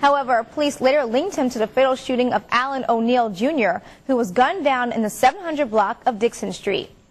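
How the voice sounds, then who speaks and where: A high-pitched woman talks at a very fast pace with lively intonation and hardly any pauses, over noticeable background noise. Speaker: television news anchor and reporter. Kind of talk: scripted news anchor read.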